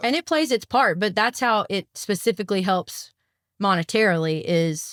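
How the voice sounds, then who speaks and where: A woman with a Southern US accent talks at a moderate pace in a medium pitch, with lively intonation and very even loudness. The recording is very clean with a silent background, and the sound is dry and close with no echo. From US South, South Arkansas. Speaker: country singer. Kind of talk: casual chat.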